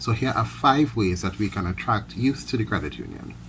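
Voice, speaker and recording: Fairly low in pitch with vocal fry, a man talks at a fairly quick pace with very wide pitch swings. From Trinidad and Tobago. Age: 30s. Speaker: credit union worker. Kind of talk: prepared speech. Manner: formal.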